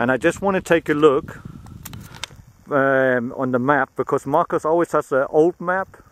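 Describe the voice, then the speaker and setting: Speaking at a moderate pace with a German accent, a man keeps a fairly even intonation in a dry, close sound with no echo. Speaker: metal detectorist. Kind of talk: casual video commentary. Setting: outdoors. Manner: halting.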